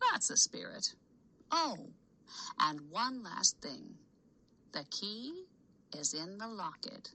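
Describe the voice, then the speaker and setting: With very wide pitch swings and a fairly high pitch, a female-sounding put-on character voice moves at a very slow pace, broken by long, frequent pauses. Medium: read story. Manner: warm, affectionate.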